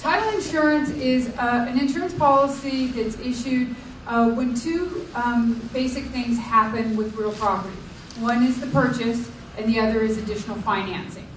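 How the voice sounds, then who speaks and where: In a room with audible echo and noticeable background noise, a woman talks at a moderate pace in a high voice with ordinary pitch variation. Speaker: title insurance professional. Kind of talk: workshop presentation. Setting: public library workshop with audience.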